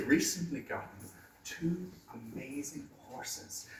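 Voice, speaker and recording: A man's pitch varies in an ordinary way. Noticeable background noise is present. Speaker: storyteller; museum visitor guide. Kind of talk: live folklore storytelling to an audience. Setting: small room in a pub, noisy.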